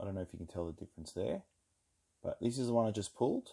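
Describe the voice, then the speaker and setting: A man speaks with an Australian accent. His delivery is very fast, with a dark, mellow tone. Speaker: trading card collector, video creator. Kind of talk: card pack opening commentary. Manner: monotone on these videos.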